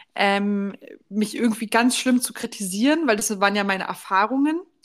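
A woman with an ordinary speaking voice, fairly high pitch and a fairly quick pace. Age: 20s. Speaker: podcast co-host. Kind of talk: casual chat.

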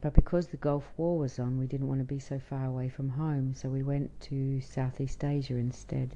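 A dark, mellow tone at a moderate pace, with monotone, flat intonation and hardly any pauses. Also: woman, very deep, low pitch for a woman. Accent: Australian. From Australia. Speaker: traveller. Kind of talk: interview conversation.

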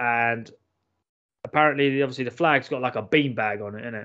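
A man with a London accent, over a quiet background. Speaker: podcast co-host. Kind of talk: casual banter. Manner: crude, jokey.

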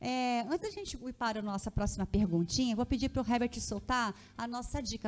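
With music playing in the background, a woman's high voice shows ordinary pitch variation. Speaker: podcast host. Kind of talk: live talk show interview. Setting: studio, live stream. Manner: lighthearted, relaxed.

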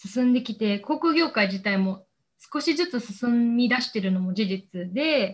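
Fairly high in pitch and somewhat breathy, a woman speaks with lively intonation. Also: fairly slow pace. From Osaka, Japan. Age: 20s. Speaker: recent university graduate. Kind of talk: interview.

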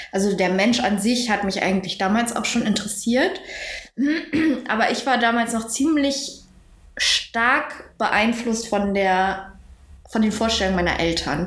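A woman with a fairly high pitch speaks at a fairly slow pace, leaving long, frequent pauses. Her pitch varies in an ordinary way, her loudness stays very even, and audible room echo surrounds her. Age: 20s. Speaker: university student. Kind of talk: casual chat.

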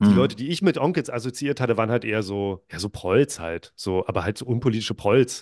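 Against a quiet background with a dry, close sound and no echo, a man talks at a very fast pace with lively intonation and hardly any pauses. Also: medium pitch for a man. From northern Germany, near Lübeck. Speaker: podcaster. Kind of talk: casual interview. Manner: hesitant, many fillers.

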